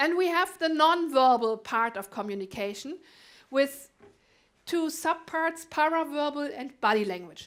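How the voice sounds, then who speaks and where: On a very clean recording with a silent background, a woman with a German accent speaks in a high pitch at a fairly slow pace, with lively intonation and big swings in loudness. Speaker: conference speaker. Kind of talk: conference talk.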